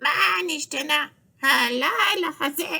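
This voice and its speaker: Squeaky and high-pitched, this put-on character voice moves at a fairly slow pace. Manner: repeating, mimicking.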